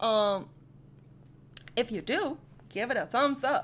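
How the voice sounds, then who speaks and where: A woman speaks loudly in an animated tone, her voice pitched high with lively intonation. She takes a fairly slow pace. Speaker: anime rap reaction youtuber. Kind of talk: casual reaction commentary.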